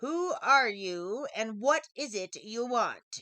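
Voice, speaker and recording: A put-on character voice comes through at a very slow pace. Hissing runs through it. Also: woman, high pitch for a woman. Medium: read story. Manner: hissing, sly.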